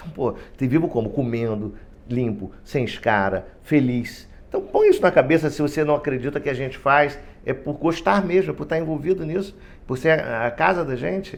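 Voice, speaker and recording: At a moderate pace, a man with a fairly high pitch speaks in an animated tone with lively intonation. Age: 60s. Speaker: union president, retired heart surgeon. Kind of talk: podcast interview. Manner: animated, halting with repetitions.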